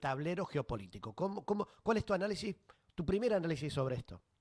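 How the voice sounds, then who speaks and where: A man speaks fairly quickly in an ordinary speaking voice, his intonation lively. The sound is dry and close, with no echo. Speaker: radio host. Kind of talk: radio interview.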